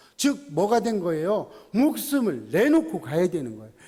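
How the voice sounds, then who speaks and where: This man speaks with a high pitch. His pitch swings very widely. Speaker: pastor. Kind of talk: sermon.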